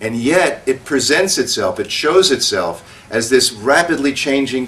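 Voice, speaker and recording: With lively intonation, a man speaks at a fairly slow pace. His pitch sits fairly high. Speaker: spiritual teacher. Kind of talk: satsang talk. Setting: stage with audience. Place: hall.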